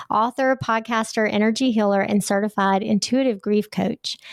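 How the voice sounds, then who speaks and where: Over a very clean recording with a silent background, a woman with a Southern US accent speaks with fairly even intonation. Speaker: podcast host. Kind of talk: interview.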